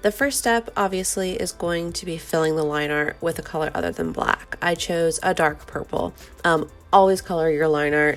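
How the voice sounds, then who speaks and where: With music in the background, a woman speaks at a fairly low pitch and moderate pace with ordinary pitch variation. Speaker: digital artist. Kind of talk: art tutorial voiceover. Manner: casual, hesitant with fillers.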